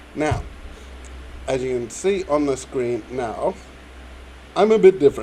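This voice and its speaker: A man talks at a fairly slow pace while noticeable background noise is heard. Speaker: YouTuber. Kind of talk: Q&A monologue. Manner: halting.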